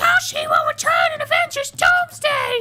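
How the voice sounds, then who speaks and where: A put-on character voice at an extremely high pitch swings very widely in pitch. The pace is moderate, with music in the background. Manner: put-on cartoon voice.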